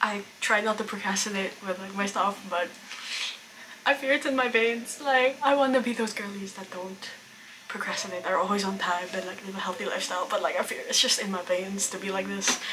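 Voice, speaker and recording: A woman talking at a fairly quick pace, with big swings in loudness and noticeable background noise. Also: medium pitch for a woman, ordinary pitch variation. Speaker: artist and vlogger. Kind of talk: casual vlog narration.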